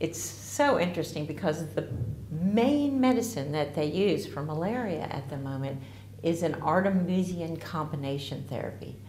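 At a moderate pace, a woman with an American accent speaks in a very deep, low voice with very wide pitch swings. Audible room echo and light background noise fill the recording. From US, Ozark Mountains region. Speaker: herbalist. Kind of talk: promotional talk to camera. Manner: casual, slightly halting. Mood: warm, enthusiastic. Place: home room.

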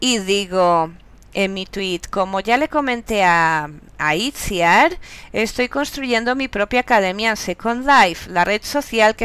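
At a fairly slow pace, a woman with a medium pitch uses lively intonation in a very clean recording with a silent background. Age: 40s. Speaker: university lecturer and master's student. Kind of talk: narrated class presentation. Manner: halting.

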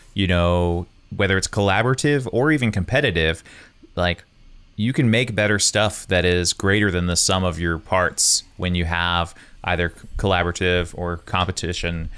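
The man's pitch is very deep and low. He talks at a moderate pace with ordinary pitch variation. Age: 30s. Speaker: podcast host and wedding photographer. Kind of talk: casual chat. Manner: animated. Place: home room. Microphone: studio mic.

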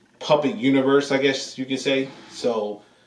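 A man speaks with audible room echo. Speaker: reaction channel host. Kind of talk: casual vlog chat. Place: home room.

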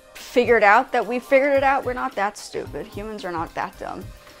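Faint music plays in the background as a woman talks at a fairly quick pace, with big swings in loudness and ordinary pitch variation. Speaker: vlogger. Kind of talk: casual vlog chat. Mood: complaining, opinionated. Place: home room.

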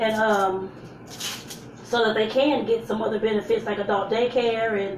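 Audible room echo and light background noise surround the recording. A woman speaks in a monotone, flat intonation. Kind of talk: casual live-stream cooking chat. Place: kitchen. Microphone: phone near.

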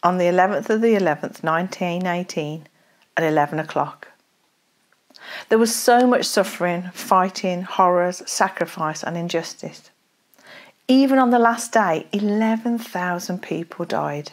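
This woman talks at a moderate pace, her pitch varying in an ordinary way, with a quiet background behind her. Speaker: speaker. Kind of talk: devotional talk and scripture reading. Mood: solemn, reflective. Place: home room. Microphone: lapel.

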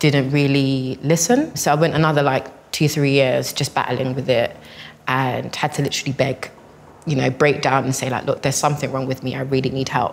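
A fairly quick woman's voice, very deep and low in pitch, with monotone, flat intonation. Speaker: guest. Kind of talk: personal testimony in group discussion. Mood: calm, earnest, reflective. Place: hall.

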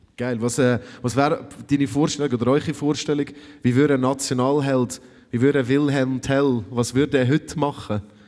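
Moderate-paced speech from a man, with a quiet background. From Switzerland. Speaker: festival moderator; host interviewing young filmmakers. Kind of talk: stage interview. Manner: animated. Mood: friendly, casual, encouraging. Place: stage. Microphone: handheld.

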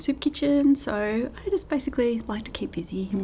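Light background noise sits behind a woman speaking with lively intonation. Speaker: guest. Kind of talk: interview answer. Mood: warm, laughing, animated. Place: studio.

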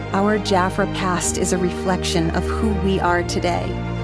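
A woman at a fairly slow pace over loud background music. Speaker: voice actor. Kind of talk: corporate narration. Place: studio. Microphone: studio mic.

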